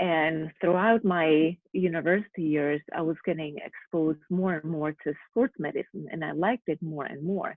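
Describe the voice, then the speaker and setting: Speaking at a moderate pace, a woman with a Slovak accent has a fairly low pitch and ordinary pitch variation. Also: hardly any pauses. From Slovakia. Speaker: physical therapist. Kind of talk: interview.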